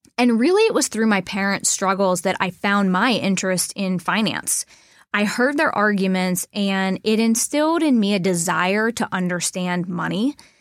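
A woman with an American accent speaks in a plain, everyday voice at a medium pitch, with ordinary pitch variation. Her loudness stays very even, and the recording is very clean with a silent background. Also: moderate pace. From Mid-Ohio Valley, Ohio/West Virginia border. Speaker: wealth advisor, podcast co-host. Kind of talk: casual conversational podcast.

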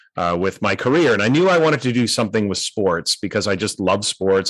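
This man has a normal speaking voice at a fairly low pitch. He talks at a fairly quick pace with lively intonation. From Canada, North Vancouver. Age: 50s. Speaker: education author and speaker. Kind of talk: interview conversation.

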